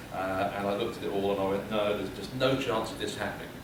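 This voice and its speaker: Very fast speech with a British accent, audible room echo and noticeable background noise. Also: man. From United Kingdom. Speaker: public speaker. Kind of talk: humorous keynote speech. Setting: stage with audience.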